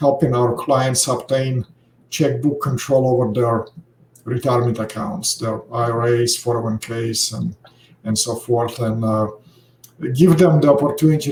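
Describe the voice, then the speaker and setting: In a Russian accent, a man talks at medium pitch with ordinary pitch variation. His pace is moderate. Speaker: financial services founder, retirement account expert. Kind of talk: podcast interview. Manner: many filler hesitations.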